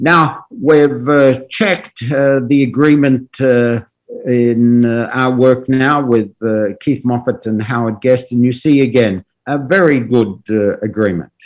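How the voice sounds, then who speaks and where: At a fairly slow pace, a man with an Australian accent speaks at a medium pitch with ordinary pitch variation. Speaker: professor. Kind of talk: lecture. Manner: halting, many fillers.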